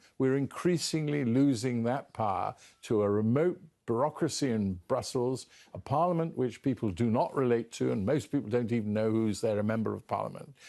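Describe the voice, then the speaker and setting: This speaker has a British accent and a dark, mellow tone, with ordinary pitch variation. The pace is fairly quick and the background is quiet. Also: man, medium pitch for a man. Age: 70s. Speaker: politician. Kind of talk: interview.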